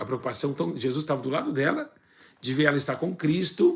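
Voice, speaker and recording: Fairly quick speech from a man, somewhat breathy in tone. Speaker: church teacher. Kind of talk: bible teaching. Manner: fast.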